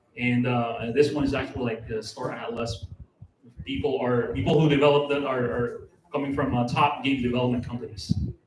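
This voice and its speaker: A man talks at a fairly quick pace with fairly even intonation, and room echo is audible. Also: medium pitch for a man. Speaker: tech speaker presenting on blockchain gaming. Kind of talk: talk with slides. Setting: live event at a cafe bar. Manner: fast, many fillers and restarts.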